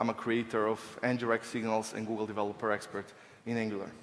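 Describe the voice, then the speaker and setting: A man speaks with a Serbian accent. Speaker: software engineer, conference speaker. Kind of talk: technical conference talk.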